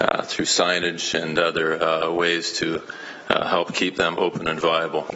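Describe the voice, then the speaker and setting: There is noticeable background noise behind the speaker. He is a man with a Canadian accent. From Canada, Hamilton, Ontario. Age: 60s. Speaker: teacher. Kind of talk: public delegation to city council.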